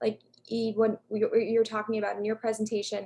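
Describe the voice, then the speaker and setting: A woman with an American accent, an ordinary speaking voice, speaks at a moderate pace in a fairly high pitch. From US, Long Island, New York. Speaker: academic panelist, language educator. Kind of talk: panel discussion.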